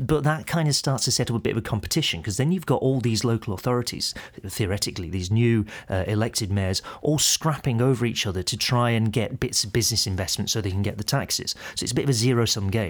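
Ordinary pitch variation marks talking that races at a very fast pace. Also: man, medium pitch for a man. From northern England, Wigan. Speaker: economist. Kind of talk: casual explanatory interview. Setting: studio recording in London.

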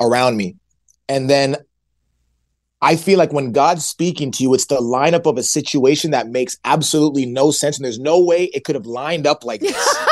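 Against a quiet background, a man with a fairly high pitch speaks in an animated tone at a fairly quick pace, with ordinary pitch variation. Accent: Canadian. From Canada, Ottawa. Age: 20s. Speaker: hip hop artist. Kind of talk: casual chat.

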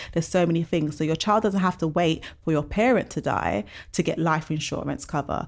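At a fairly quick pace, a woman speaks with a fairly low pitch and vocal fry. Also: ordinary pitch variation. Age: 30s. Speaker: money mindset and savings coach. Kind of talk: podcast interview.

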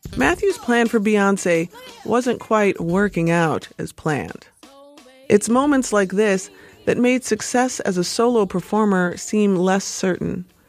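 A woman talks at a fairly slow pace, her pitch medium with ordinary variation. Music plays in the background. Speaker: podcast host and narrator. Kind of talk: scripted narration.

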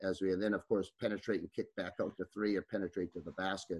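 A man with an Upper Midwest accent speaks at a fairly low pitch. The sound is dry and close with no echo, in a very clean recording with a silent background. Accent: Upper Midwest (Minnesota). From northern Minnesota, Iron Range. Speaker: high school basketball coach. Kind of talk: podcast interview.

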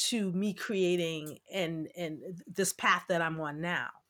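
An American woman speaks in an animated tone with a bright, sharp voice, on a very clean recording with a silent background. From New York, Brooklyn. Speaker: dancer and choreographer. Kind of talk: interview.

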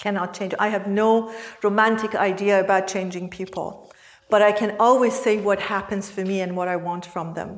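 Moderate pace and a flat, monotone delivery over noticeable background noise. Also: woman, medium pitch for a woman. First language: not English. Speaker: mindfulness teacher and coach. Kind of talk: workshop teaching. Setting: workshop with participants.

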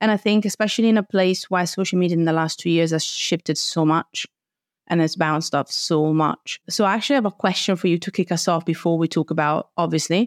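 Here a woman has an unremarkable speaking voice with fairly low pitch, ordinary pitch variation and very even loudness at a fairly quick pace. The sound is dry and close with no echo, and the recording is very clean with a silent background. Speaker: podcast host and teacher. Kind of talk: podcast conversation with promo intro. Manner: warm, upbeat, chatty.

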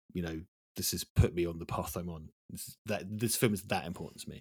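In an East Anglian accent, a man with a very deep, low pitch talks at a very fast pace in a dry, close sound with no echo. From East Anglia, England. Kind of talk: casual chat. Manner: animated.

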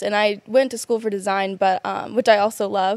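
A woman with an ordinary speaking voice talks at a moderate pace and medium pitch with fairly even intonation. The sound is dry and close, with no echo. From US South; South Carolina. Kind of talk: casual interview chat. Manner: casual, laughs often.

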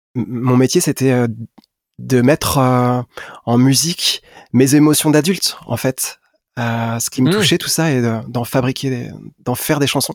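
The recording is dry and close with no echo as a man speaks very slowly at a medium pitch with ordinary pitch variation. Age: 40s. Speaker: singer-songwriter. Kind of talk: interview. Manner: hesitant.

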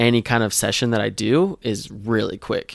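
A man speaks in a plain, everyday voice at a medium pitch, in a dry, close sound with no echo. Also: very clean recording, silent background. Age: 20s. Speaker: photographer. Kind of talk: casual interview.

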